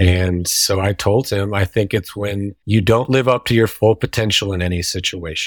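With an unremarkable speaking voice, a man talks at a moderate pace and a fairly low pitch, his intonation fairly even, the sound dry and close with no echo. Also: very clean recording, silent background. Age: 30s. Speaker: tattoo and visual artist. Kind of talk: casual chat.

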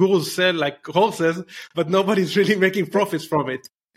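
In a very clean recording with a silent background, a man with an Israeli accent speaks at a high pitch and a fairly quick pace, his pitch varying in an ordinary way. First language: Hebrew. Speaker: entrepreneur, growth hacker. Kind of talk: interview.

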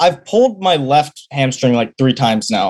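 Speaking with an American accent, a man uses lively intonation. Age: young. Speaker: college sprinter. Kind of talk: call-in question.

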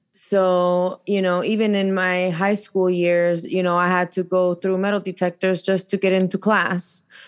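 A woman with an American accent speaks at a moderate pace and medium pitch, with monotone, flat intonation. Her loudness is very even, she hardly pauses, and the background is quiet. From Chicago, US Midwest. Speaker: domestic violence survivor and advocate. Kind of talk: interview, personal testimony.

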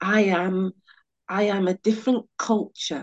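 Speaking with a British accent at a fairly slow pace, a woman uses a medium pitch and ordinary pitch variation in a dry, close sound with no echo. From England, West Indian heritage. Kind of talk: personal storytelling. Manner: animated.

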